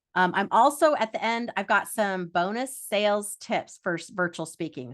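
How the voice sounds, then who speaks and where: A woman's intonation is lively, and the background stays quiet. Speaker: speaker trainer and workshop presenter. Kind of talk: interactive online workshop. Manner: fast.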